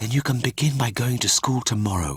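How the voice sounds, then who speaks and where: Putting on a character voice, a man speaks at a fairly quick pace. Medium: read story. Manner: gentle, motherly.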